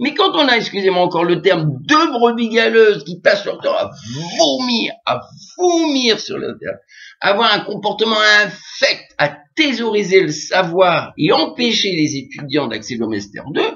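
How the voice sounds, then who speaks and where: A man with a high pitch moves through very wide pitch swings at a fairly slow pace. His loudness rises and falls in big swings. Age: 60s. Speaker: English teacher and trainer. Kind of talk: video monologue rant. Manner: halting.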